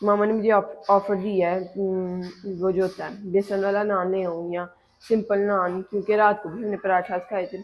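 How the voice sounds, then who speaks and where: A woman's medium-pitched voice, flat and monotone in intonation. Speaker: vlogger. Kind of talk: casual vlog talk to camera.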